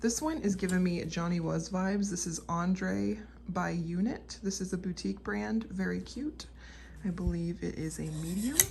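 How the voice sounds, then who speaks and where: This woman talks at a moderate pace, and audible room echo hangs around her words. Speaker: clothing reseller, channel owner. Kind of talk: product showcase video. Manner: whispering.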